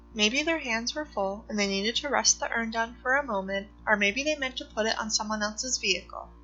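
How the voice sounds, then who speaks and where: Music plays in the background as a woman talks at a moderate pace, her pitch fairly high with ordinary variation. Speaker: mystery channel narrator. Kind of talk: mystery story narration.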